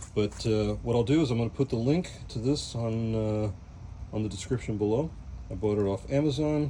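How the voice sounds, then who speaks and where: This man has an American accent and a dark, mellow tone. His voice is somewhat breathy. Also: medium pitch for a man, ordinary pitch variation, fairly quick pace. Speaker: cooking channel host. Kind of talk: cooking tutorial. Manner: casual, relaxed.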